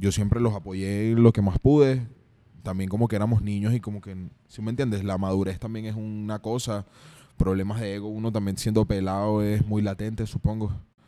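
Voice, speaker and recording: In a Venezuelan accent, this dark, mellow voice runs at a fairly quick pace with flat, monotone intonation and big swings in loudness, recorded very cleanly against a silent background. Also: man, fairly low pitch for a man. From Venezuela, Carabobo. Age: 20s. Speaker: rapper and songwriter. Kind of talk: casual interview. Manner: relaxed, chill.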